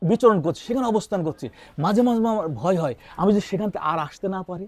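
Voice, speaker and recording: Here a man talks in a high pitch with lively intonation. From Kushtia, western Bangladesh. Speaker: novelist and children's author. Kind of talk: interview.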